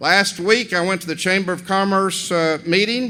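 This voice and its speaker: Speaking in a Southern US accent, a man has a high pitch, a bright, sharp tone, ordinary pitch variation, and a moderate pace. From Tennessee, Cleveland. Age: 60s. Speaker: commencement speaker. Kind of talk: commencement speech. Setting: gymnasium with audience. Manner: folksy, conversational.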